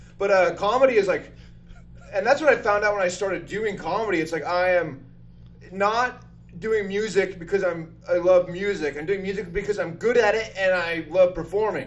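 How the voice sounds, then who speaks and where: A man with an American accent speaks loud at a moderate pace. His pitch is high, with ordinary variation. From northern Utah. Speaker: comedian and drummer. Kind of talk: casual chat. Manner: animated.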